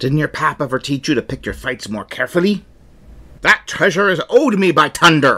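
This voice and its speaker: A man's put-on character voice at a fairly high pitch. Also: fairly quick pace. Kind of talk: pirate voice. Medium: actual play. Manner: gruff, threatening.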